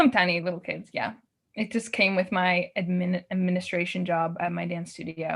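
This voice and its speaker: A woman with a Canadian accent talks at a fairly quick pace and medium pitch in a plain, everyday voice. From Yukon, northern Canada. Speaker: artist and dancer. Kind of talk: casual interview chat.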